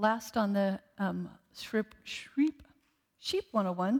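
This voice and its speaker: A woman speaks at a very slow pace. Her fairly high voice has ordinary pitch variation. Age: 60s. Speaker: guest preacher, former ICU nurse. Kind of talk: sermon. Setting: church service with congregation.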